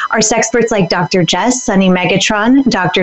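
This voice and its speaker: A woman at a moderate pace, with a fairly high pitch and ordinary pitch variation, talks through noticeable background noise. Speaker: podcast host. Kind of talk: interview.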